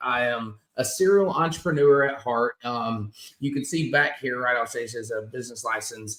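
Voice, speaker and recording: A man uses an ordinary speaking voice at a moderate pace, with ordinary pitch variation. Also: medium pitch for a man. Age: 40s. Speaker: business owner, detailer. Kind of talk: casual chat.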